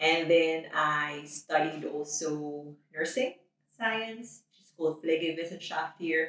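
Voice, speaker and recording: Speaking with a Filipino accent, a woman uses a fairly low pitch. Her intonation is fairly even and her pace fairly slow. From Philippines. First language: Tagalog. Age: 30s. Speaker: nurse. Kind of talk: interview.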